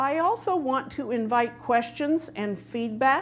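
Over light background noise, a woman speaks at a very slow pace with lively intonation. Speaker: conference presenter. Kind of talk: lecture. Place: stage. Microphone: lapel.

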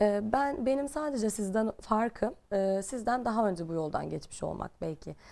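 Lively in intonation and hardly pausing, a woman speaks at a fairly high pitch in a dark, mellow tone. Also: moderate pace. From Bergama, western Turkey; western Turkey. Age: 30s. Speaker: personal development coach; guest. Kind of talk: interview. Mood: calm, earnest. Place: studio. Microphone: lapel.

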